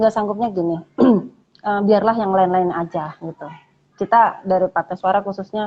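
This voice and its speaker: With fairly even intonation, a woman talks at a moderate pace and a medium pitch. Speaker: dancer and lecturer. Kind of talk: casual interview chat. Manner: hesitant, many fillers.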